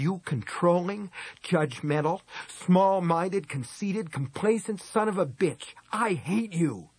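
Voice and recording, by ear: A man does a put-on character voice, pitched high with lively intonation, a slightly husky edge and a slow pace.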